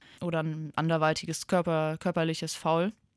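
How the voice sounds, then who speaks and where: At a moderate pace, a woman speaks with a fairly low pitch on a very clean recording with a silent background. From Germany, Limburg (Hesse). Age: 20s. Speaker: hockey player and team captain. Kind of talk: radio interview.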